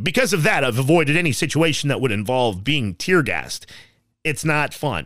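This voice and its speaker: Speaking fairly quickly with a Western US accent, a man shows vocal fry and very wide pitch swings. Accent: General American (Western US). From Colorado, Castle Rock. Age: 30s. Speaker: podcast host, sports fan commentator. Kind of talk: casual solo podcast monologue.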